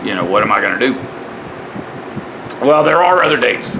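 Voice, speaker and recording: There is audible room echo and noticeable background noise around this man as he talks. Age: 60s. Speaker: religious vlogger. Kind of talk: casual monologue vlog. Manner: halting.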